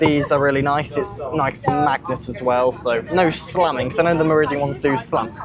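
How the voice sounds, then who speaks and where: Noticeable background noise runs behind a man speaking at a moderate pace. His pitch is fairly high, with ordinary pitch variation. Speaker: train travel vlogger. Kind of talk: travel vlog commentary. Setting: on a moving train. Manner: casual, with frequent fillers; quiet, subdued talk.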